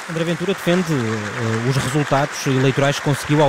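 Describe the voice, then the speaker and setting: Crowd noise fills the background. Over it, a man talks with a fairly high pitch. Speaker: radio reporter. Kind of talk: live commentary. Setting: convention hall. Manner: halting, with fillers.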